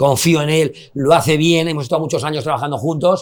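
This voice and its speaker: Speaking very fast with a Madrid accent, a man has a fairly high pitch. His intonation stays fairly even. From Spain, Madrid. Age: 50s. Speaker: nightclub owner. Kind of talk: casual chat.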